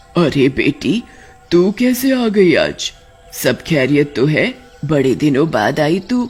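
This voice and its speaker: A cartoonish character voice sits at a middle pitch. It moves at a fairly slow pace over music in the background. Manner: sugary on the surface, cunning underneath.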